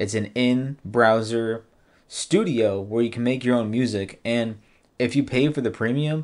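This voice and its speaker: In a quiet background, a man talks at a fairly slow pace with a medium pitch and fairly even intonation. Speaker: podcast host and amateur musician. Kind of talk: casual solo podcast talk.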